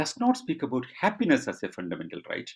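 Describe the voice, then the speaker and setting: Here a man with a Keralan accent speaks at a fairly quick pace. His intonation is lively. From India, Kerala. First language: Malayalam. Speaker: rationalist speaker. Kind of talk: online Q&A answers. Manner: halting with fillers.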